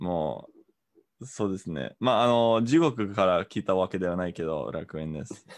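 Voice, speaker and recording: This man has an English accent and a very deep, low pitch. His intonation is lively. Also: moderate pace. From Canada. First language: English (speaking Japanese). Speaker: Japanese learner. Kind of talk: casual chat. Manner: halting, many fillers.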